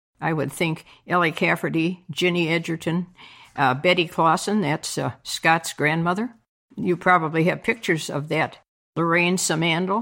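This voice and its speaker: With an Upper Midwest accent, a woman speaks at a fairly low pitch in a very clean recording with a silent background. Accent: Upper Midwest American. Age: 80s+. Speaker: veteran curler. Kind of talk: interview. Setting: home basement bar.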